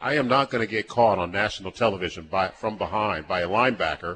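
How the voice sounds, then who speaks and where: Over a quiet background, a man with a fairly low voice and a bright, sharp tone speaks at a very fast pace. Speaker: former football player, guest. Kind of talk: casual conversational interview. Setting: live event at a restaurant with audience.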